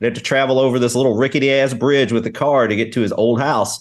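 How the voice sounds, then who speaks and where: A man with a Kentucky accent talks at a very fast pace in a medium pitch over a quiet background. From Kentucky, Louisville. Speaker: game developer and stream host. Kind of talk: casual chat.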